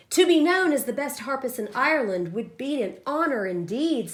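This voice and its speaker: Using a put-on character voice, a woman speaks high in her range at a moderate pace, her pitch swinging very widely. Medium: read story. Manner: gentle, humble.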